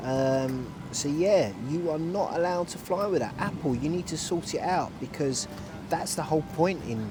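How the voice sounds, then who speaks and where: Someone speaks with a London accent at a moderate pace. There is audible room echo and noticeable background noise. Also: man. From London, England. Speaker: travel vlogger. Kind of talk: casual vlog narration. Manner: casual, hesitant with fillers.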